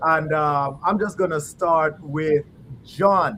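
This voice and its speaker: This man has a plain, everyday voice and an American accent. His pitch sits fairly high, with fairly even intonation. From USA. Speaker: panel host. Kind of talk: live online panel discussion. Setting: live online video call.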